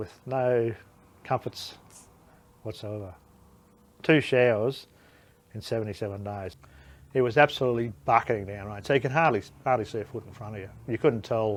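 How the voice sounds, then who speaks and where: A man with an Australian accent speaks at a fairly quick pace in a medium pitch. The recording is very clean, with a silent background. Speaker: war veteran. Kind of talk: interview answer.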